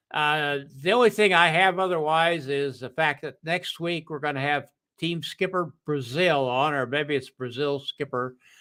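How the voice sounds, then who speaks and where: This man speaks in an American accent with a fairly high pitch, a bright, sharp tone and ordinary pitch variation. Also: moderate pace, very clean recording, silent background. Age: 80s+. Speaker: talk show host. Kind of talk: casual chat. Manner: hesitant, many fillers.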